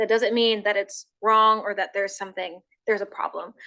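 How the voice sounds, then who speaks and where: A woman speaks loudly at a fairly high pitch. Her tone is bright and sharp. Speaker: sports health educator. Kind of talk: educational talk.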